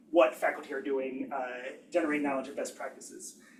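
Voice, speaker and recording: A man is speaking. There is noticeable background noise behind him. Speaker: engineering education researcher. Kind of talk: academic seminar talk. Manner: fast; hesitant, many fillers.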